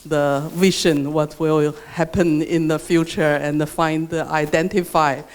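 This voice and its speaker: In a Chinese accent, the speaker goes at a fairly slow pace with hardly any pauses. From China. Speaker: researcher. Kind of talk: workshop reflection remarks. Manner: halting, many fillers and repetitions.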